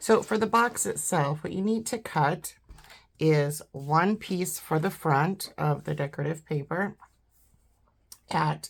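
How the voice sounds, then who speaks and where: On a very clean recording with a silent background, a woman with a very deep, low voice and vocal fry speaks at a very slow pace. Her intonation is lively, broken by long, frequent pauses. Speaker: papercraft designer. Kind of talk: tutorial. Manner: casual, hesitant with fillers.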